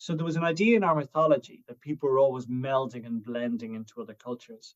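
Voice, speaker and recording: This voice carries an Irish accent. Its intonation is lively. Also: man. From Ireland. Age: 50s. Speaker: writer and broadcaster on Irish language and lore. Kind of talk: interview conversation. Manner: hesitant, with false starts.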